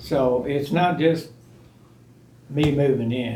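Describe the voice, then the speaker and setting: Audible room echo surrounds the speaker. He is a man with an American accent. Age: 70s. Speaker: resident giving public comment. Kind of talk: public comment at meeting.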